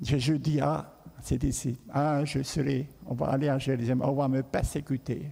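At a fairly slow pace, a man speaks in a dark, mellow, somewhat breathy voice of medium pitch, with monotone, flat intonation and very even loudness. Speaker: pastor. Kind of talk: sermon.

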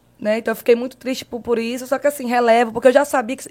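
A woman's high-pitched voice at a very fast pace. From Marabá, Pará, northern Brazil. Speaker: digital influencer. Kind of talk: casual interview.

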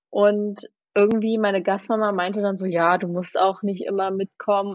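A woman's voice at medium pitch, monotone and flat in intonation. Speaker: former exchange student. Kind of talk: casual chat.

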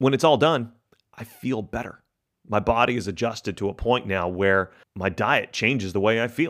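A man with an American accent and an unremarkable speaking voice, medium pitch, ordinary pitch variation and a moderate pace, on a very clean recording with a silent background. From Texas. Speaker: corporate professional sharing diet story. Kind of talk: personal testimony.

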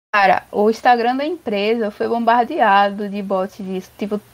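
This woman has a plain, everyday voice. Her intonation stays fairly even. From Brazil, Recife (Pernambuco). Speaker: software developer and crypto entrepreneur. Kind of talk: casual interview.

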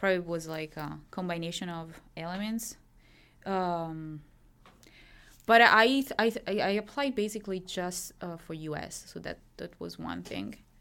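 On a very clean recording with a silent background, a woman speaks at a fairly slow pace and fairly low pitch, her tone bright and sharp. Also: ordinary pitch variation. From Italy, Milan. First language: Italian. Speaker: graduate student in medieval studies. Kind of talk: interview.

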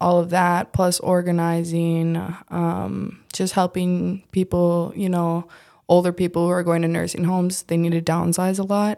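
Delivered at a fairly slow pace in an Upper Midwest accent, the voice has a dark, mellow tone and monotone, flat intonation in a very clean recording with a silent background. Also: woman. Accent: Upper Midwest American. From US Midwest, Minnesota. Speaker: restaurant worker. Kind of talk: casual interview. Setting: studio. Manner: soft-spoken.

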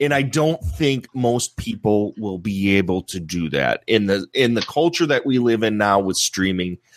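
A man's unremarkable speaking voice, fairly low in pitch, with lively intonation at a moderate pace, hardly any pauses, and a dry, close sound with no echo. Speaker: movie podcaster. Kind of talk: casual group discussion.

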